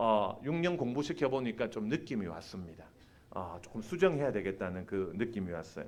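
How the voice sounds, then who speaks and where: Through audible room echo, a man talks at a moderate pace with very wide pitch swings. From Busan, South Korea. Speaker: preacher and seminary professor. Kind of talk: sermon. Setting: church. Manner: animated, engaging the congregation.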